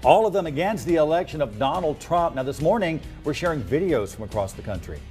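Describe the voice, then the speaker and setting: A man with an American accent talks at a very fast pace in a fairly high pitch, his loudness swinging widely. His intonation is lively, and music plays in the background. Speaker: TV news anchor and reporter. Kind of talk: studio news anchor read.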